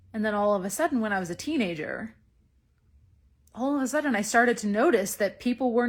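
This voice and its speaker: A woman with a Canadian accent speaks at a fairly high pitch and a moderate pace, sounding somewhat breathy. The recording is very clean, with a silent background. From east coast of Canada. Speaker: feminine magnetism coach. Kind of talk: live stream monologue. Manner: casual, conversational.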